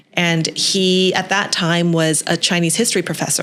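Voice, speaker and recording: A woman has an unremarkable speaking voice at a fairly low pitch. She talks at a moderate pace. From western Canada, Vancouver. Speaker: TV host and entrepreneur. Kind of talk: podcast interview.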